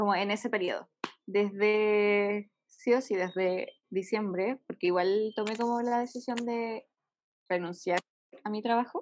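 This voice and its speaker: It is an unremarkable speaking voice, a woman's, fairly high in pitch with ordinary pitch variation. She speaks at a fairly slow pace. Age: 20s. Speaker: entrepreneur. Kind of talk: casual interview.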